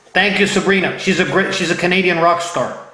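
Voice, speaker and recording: With an American accent, a man with a high pitch uses a raised, projected voice and an animated tone at a moderate pace, amid noticeable background noise and audible room echo. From Ohio. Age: 50s. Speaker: interview show host. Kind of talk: casual interview. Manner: animated, repetitive.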